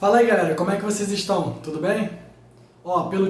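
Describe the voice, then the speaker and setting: Talking at a fairly quick pace, a man with a high-pitched voice is heard with audible room echo and noticeable background noise. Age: 20s. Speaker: physics teacher, YouTuber. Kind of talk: casual vlog talk to viewers.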